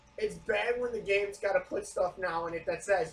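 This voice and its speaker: The voice is loud. Noticeable background noise runs beneath it. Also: man. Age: 30s. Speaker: podcast co-host. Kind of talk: casual chat.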